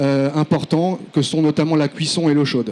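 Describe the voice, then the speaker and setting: Flat and monotone in intonation, the voice carries a dark, mellow tone. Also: man. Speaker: engineer presenting a project. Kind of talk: conference presentation. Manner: fast; hesitant, many fillers.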